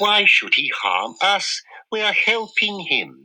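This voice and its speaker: In a put-on character voice, a female-sounding speaker talks very slowly at a medium pitch. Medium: read story.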